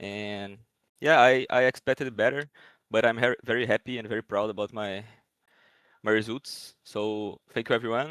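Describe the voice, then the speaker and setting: A man with a Portuguese accent at a moderate pace, fairly even intonation and long, frequent pauses. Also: medium pitch for a man. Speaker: esports player. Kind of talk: post-match interview. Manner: halting.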